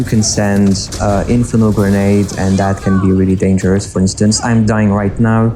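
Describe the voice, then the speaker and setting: Over noticeable background noise, a man speaks at a moderate pace in a fairly low pitch with monotone, flat intonation. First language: French. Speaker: gaming YouTuber. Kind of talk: live gameplay commentary. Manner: halting, many fillers.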